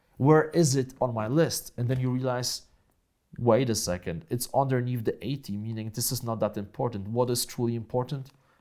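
A man in a Polish accent, dark and mellow in tone, medium in pitch, with ordinary pitch variation and a moderate pace, on a very clean recording with a silent background. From Poland. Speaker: online entrepreneur and speaker. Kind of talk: interview conversation. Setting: in person, same room as host. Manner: animated, laughs often.

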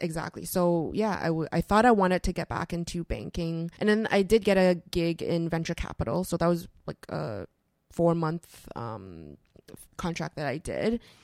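A woman talks in an ordinary speaking voice with a Canadian accent, fairly low in pitch with ordinary pitch variation. The sound is dry and close, with no echo. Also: moderate pace. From Canada (Toronto). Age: 30s. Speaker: investment educator and author. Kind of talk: interview. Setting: studio.

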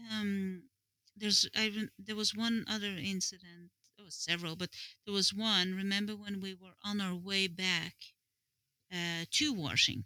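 A woman at a medium pitch speaks with a bright, sharp tone and fairly even intonation at a moderate pace. Her loudness swings widely, and long pauses come often. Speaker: podcast guest, host's partner. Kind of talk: casual chat. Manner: laughs often.

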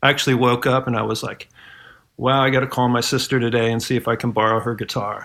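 This man, with an American accent, speaks very fast at a medium pitch, his tone bright and sharp and his intonation monotone and flat. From Ohio, US Midwest. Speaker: musician. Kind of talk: casual chat.

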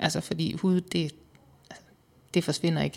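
In an ordinary speaking voice, a woman talks at a fairly low pitch. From Southern Jutland, Denmark. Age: 30s. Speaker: weight-loss interviewee. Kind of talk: personal testimony interview.

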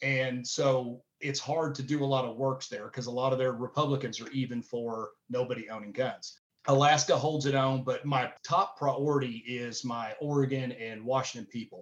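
A man at medium pitch with a Southern US accent, moderate in pace, with hardly any pauses and fairly even intonation. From Tennessee. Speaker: gun-rights organization director. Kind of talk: interview.

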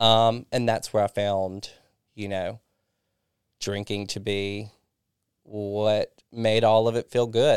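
A man with a Southern US accent speaks at a very slow pace and a fairly low pitch, in monotone, flat intonation with long, frequent pauses, over a very clean recording with a silent background and a dry, close sound with no echo. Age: 30s. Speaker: recovering alcoholic sharing his story. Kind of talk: casual interview, personal testimony.

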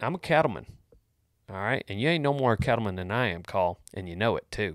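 This voice has a Texan accent and ordinary pitch variation. The recording is very clean, with a silent background. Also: man. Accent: Texan Southern US. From Texas. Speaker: comedic podcast host giving cowboy life advice. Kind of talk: casual comedic advice podcast. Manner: animated.

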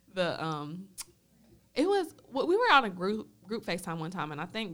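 A woman talks at a fairly quick pace in a normal speaking voice. Her pitch is fairly low. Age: 20s. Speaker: podcast co-host. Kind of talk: casual chat.

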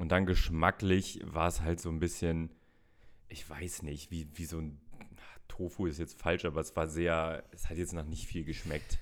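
Monotone, flat intonation at a fairly slow pace in a very clean recording with a silent background. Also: man, very deep, low pitch for a man. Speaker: food podcast co-host. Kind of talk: casual chat.

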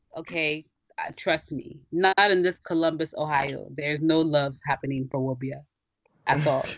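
A woman's very deep, low voice at a moderate pace with fairly even intonation. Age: 20s. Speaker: podcast co-host. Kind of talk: casual chat.

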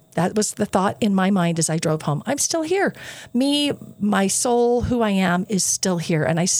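A woman talks in a normal speaking voice. Her pitch is medium and her pace moderate. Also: very even loudness. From southern Utah. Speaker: university board chair. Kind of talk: interview. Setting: studio.

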